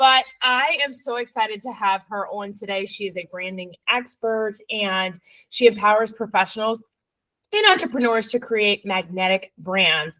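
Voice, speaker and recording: Here a woman speaks at a moderate pace with a fairly high pitch and a bright, sharp tone. Her loudness swings widely while her pitch varies in an ordinary way. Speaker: podcast host. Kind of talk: interview.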